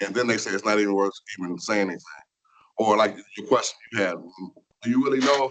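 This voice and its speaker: Spoken very fast with an American accent, the delivery keeps a fairly even intonation. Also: man. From Michigan (Flint). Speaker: workplace diversity trainer. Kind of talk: training seminar.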